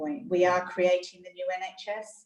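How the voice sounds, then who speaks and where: A woman with an Australian accent speaks at a fairly slow pace and a medium pitch. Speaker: hospital chief executive. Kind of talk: interview. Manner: hesitant, many fillers.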